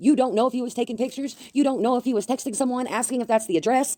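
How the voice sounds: With a dark, mellow tone, a woman talks at a fairly high pitch in a dry, close sound with no echo.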